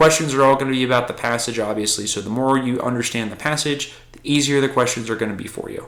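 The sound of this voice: What comes through is an unforced reading voice.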